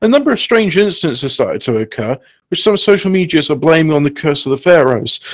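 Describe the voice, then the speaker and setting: His intonation is lively. This man talks with a high pitch. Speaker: co-host. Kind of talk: casual banter on a livestream. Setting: live stream.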